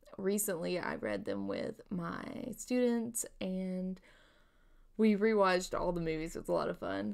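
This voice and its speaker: A woman talks at a fairly slow pace. The background is quiet. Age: 30s. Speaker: book vlogger and middle school teacher; book vlogger, middle school teacher. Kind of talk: casual vlog monologue. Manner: halting with many fillers. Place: home room. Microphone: webcam.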